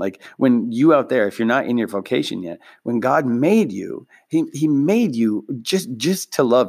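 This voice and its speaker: In an American accent, a man at medium pitch sounds animated, his intonation lively, in a very clean recording with a silent background. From Minnesota, US Midwest. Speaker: podcast host and public speaker. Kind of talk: casual comedic monologue. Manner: self-deprecating, jokey, animated.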